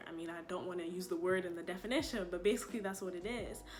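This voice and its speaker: A woman's fairly quick speech plays out with music in the background. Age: 20s. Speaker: incoming public health graduate student. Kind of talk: casual sit-down talk to camera.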